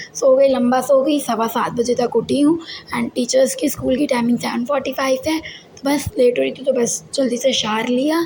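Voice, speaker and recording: With hardly any pauses, a woman speaks in a high pitch with ordinary pitch variation against noticeable background noise. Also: moderate pace. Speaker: vlogger and school teacher. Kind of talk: casual vlog talk.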